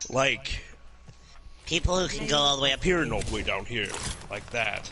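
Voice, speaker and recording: Noticeable background noise is present. Through it, a man speaks at a moderate pace. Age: 20s. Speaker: voice actor. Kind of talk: casual chat.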